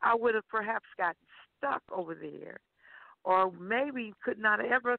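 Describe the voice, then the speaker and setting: In a normal speaking voice, a woman with an American accent talks at a fairly slow pace at medium pitch with ordinary pitch variation. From Seattle, raised partly in Alabama/Atlanta. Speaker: gospel singer. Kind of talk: preaching; interview chat. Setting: phone call.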